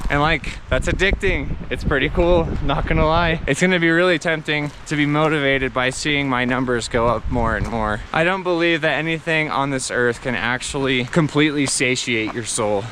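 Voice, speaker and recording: A man speaks at a moderate pace and fairly high pitch, with hardly any pauses. Noticeable background noise is present. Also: ordinary pitch variation. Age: 30s. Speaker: vanlife vlogger. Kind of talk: casual vlog monologue while hiking. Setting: outdoors on a mountain hike.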